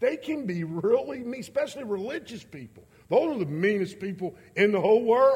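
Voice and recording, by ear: At a fairly quick pace, a man talks in a high pitch with lively intonation and a slightly mellow tone.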